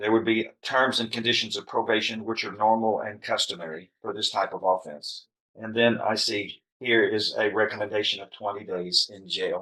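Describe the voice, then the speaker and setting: Speaking at a moderate pace with hardly any pauses, a man with an American accent has a medium pitch, a bright, sharp tone, fairly even intonation and big swings in loudness. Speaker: judge. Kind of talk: courtroom sentencing hearing. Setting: courtroom. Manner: stern.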